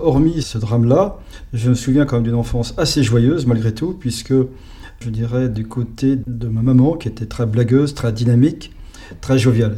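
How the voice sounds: A man's voice sits at a medium pitch and has a dark, mellow tone. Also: ordinary pitch variation, moderate pace.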